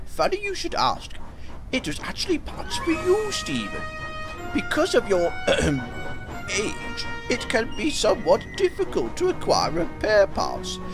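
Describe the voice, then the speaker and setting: Loud music plays in the background. Over it, a man performs a put-on character voice at a moderate pace. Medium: machinima. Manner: polite, measured.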